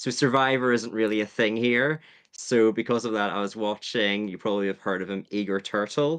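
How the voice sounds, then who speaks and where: A man speaks with a Northern Irish accent at a medium pitch and a fairly quick pace. His intonation is fairly even over a quiet background. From Northern Ireland. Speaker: Survivor YouTuber. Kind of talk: podcast interview.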